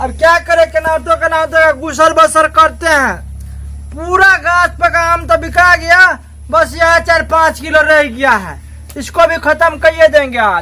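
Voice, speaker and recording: Over clear background noise, a man talks at a moderate pace in an extremely high voice. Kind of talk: village comedy skit. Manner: loud, argumentative.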